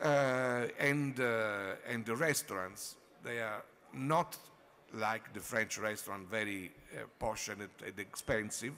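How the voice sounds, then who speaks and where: Speaking at a very slow pace, a man uses a medium pitch. His pitch variation is ordinary. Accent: Italian. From Italy. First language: Italian. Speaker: wine and food critic. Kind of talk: conference panel talk. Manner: halting.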